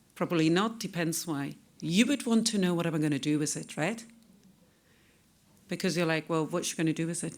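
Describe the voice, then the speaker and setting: In a very clean recording with a silent background, a woman with a fairly low pitch speaks at a fairly quick pace broken by long, frequent pauses. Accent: non-native. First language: not English. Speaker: data protection consultant. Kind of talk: conference talk. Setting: conference stage with audience.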